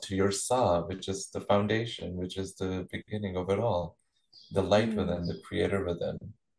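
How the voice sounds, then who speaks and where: A man speaks at a fairly low pitch with fairly even intonation. His voice is somewhat breathy. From India, Chandigarh. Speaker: kirtan singer and spiritual teacher. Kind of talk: interview.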